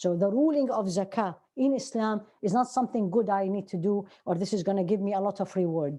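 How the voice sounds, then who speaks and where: Against a quiet background, a woman with an Arabic accent speaks at a fairly quick pace and a medium pitch, her tone dark and mellow with ordinary pitch variation. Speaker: Islamic teacher. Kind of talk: lecture.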